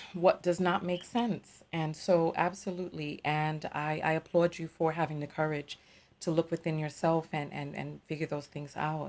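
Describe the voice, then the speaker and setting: With an American accent, a woman speaks in a fairly low voice at a fairly slow pace, keeping her intonation fairly even. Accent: masked New York accent on broadcast. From New York, the Bronx. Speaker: tarot reader and live show host. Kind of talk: live call-in show.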